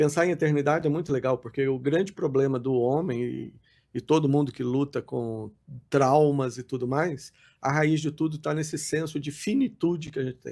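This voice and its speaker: The man's voice is fairly high-pitched, with a dark, mellow tone and fairly even intonation. He speaks at a moderate pace on a very clean recording with a silent background. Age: 60s. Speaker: pastor. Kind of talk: podcast interview. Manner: halting.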